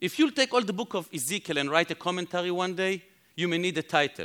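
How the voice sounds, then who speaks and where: A man with an Israeli accent talks at a very fast pace, his pitch high and his intonation lively. The recording is very clean with a silent background, and the sound is dry and close with no echo. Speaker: Bible teacher. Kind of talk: sermon. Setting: conference stage with audience.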